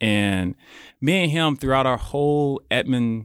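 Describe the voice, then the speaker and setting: With an Oklahoma accent, the voice comes through a dry, close sound with no echo over a very clean recording and silent background. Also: man. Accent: Oklahoma, US South. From Oklahoma City, Oklahoma. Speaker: podcast producer and studio owner. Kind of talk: casual chat.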